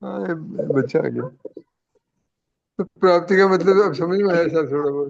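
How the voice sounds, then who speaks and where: A man's high-pitched voice at a moderate pace, marked by long, frequent pauses. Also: ordinary pitch variation. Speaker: satsang participant. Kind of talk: casual chat.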